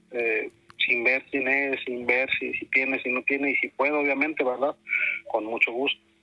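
In a northern Mexican accent, a man speaks at a moderate pace. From Tamaulipas, northern Mexico. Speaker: caller sharing paranormal experiences. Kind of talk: testimony. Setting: phone call. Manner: halting.

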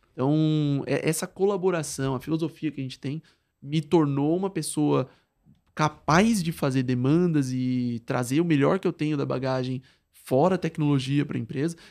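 A man with an unremarkable speaking voice talks at a moderate pace in a fairly high pitch with ordinary pitch variation against a quiet background. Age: 20s. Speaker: product designer and musician. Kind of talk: casual interview.

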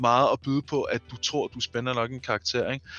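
In a normal speaking voice, a man talks at a fairly quick pace and medium pitch with fairly even intonation. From eastern Denmark. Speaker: roleplay gamer podcast host. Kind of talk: casual chat.

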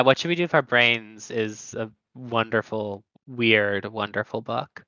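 In an unremarkable speaking voice of medium pitch, a man talks at a fairly slow pace. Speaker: podcast host. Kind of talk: casual interview conversation. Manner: casual, filler-heavy.

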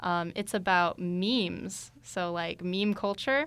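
In a very clean recording with a silent background, a woman speaks with an American accent, an ordinary speaking voice, and ordinary pitch variation. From Tucson, Arizona. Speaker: student radio host. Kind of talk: interview.

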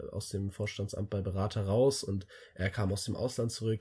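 A somewhat breathy voice with a dark, mellow tone speaks at a moderate pace with fairly even intonation. The recording is very clean, with a silent background. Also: man. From Germany, Hesse (near Wiesbaden). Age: 20s. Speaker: student, club chairman. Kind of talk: casual chat. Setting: in person, shared room. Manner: halting, many fillers.

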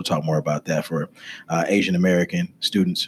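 Lively intonation marks a man's unremarkable speaking voice, delivered at a fairly quick pace. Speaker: podcast host. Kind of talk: interview conversation.

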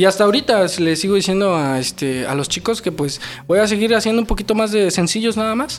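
Over noticeable background noise, a man talks at a very fast pace. His voice is high, with lively intonation. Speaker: rapper. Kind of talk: interview. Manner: halting.

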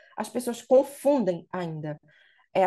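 At a moderate pace, a woman speaks in a dark, mellow tone against a quiet background. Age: 20s. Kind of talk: casual interview.

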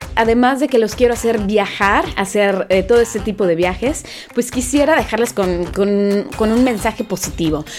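Noticeable background noise sits behind a woman speaking at a fairly high pitch and moderate pace, with ordinary pitch variation and very even loudness. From Veracruz, Mexico. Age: 30s. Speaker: podcaster and former radio presenter. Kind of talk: casual podcast monologue.

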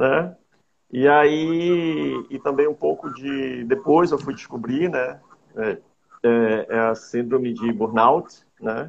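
A man's pitch is medium and varies in an ordinary way. He talks at a very slow pace. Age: 50s. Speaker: hypnotherapist. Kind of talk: interview. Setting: online call.

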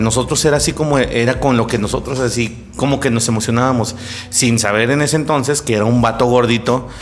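A man with a Mexican accent speaks at a fairly quick pace in a medium pitch, with audible room echo and music playing in the background. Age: 30s. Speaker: podcast host. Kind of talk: casual chat. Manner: animated.

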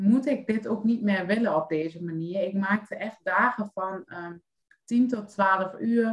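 A woman at medium pitch with a very slow pace. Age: 30s. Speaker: life coach. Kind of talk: casual chat.

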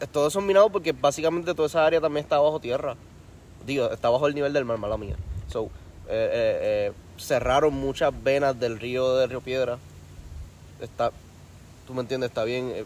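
There are long, frequent pauses as a man speaks at a moderate pace. His pitch is fairly high, with ordinary variation. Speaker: podcast co-host. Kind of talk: casual chat.

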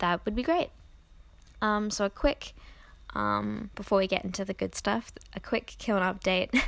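A soft-spoken woman talks at a moderate pace. The recording is very clean, with a silent background. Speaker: podcast host and Patreon creator. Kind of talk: casual solo podcast chat. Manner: filler-heavy, casual.

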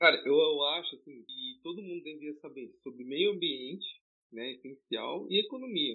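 With a plain, everyday voice, a fairly high-pitched man talks at a moderate pace, his intonation lively and his loudness swinging widely. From São Paulo city, East Zone. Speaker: podcast co-host, pre-university student. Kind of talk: casual chat.

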